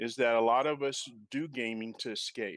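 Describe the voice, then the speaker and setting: An unremarkable speaking voice at a moderate pace with ordinary pitch variation, in a very clean recording with a silent background. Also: man. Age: 60s. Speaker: gamer and gaming clan founder. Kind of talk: casual panel discussion.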